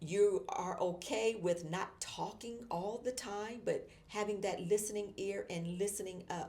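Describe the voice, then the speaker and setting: Over noticeable background noise, a woman with a warm tone and medium pitch speaks at a fairly slow pace with fairly even intonation and hardly any pauses. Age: 60s. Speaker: marketing professor and motivational speaker. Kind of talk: motivational talk. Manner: warm, conversational.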